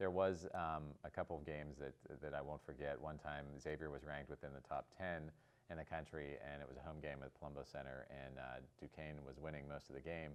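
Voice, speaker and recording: A man speaks with a very deep, low pitch and vocal fry. His intonation is flat and monotone. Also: fairly quick pace, hardly any pauses. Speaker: former student sports editor. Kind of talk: interview answer.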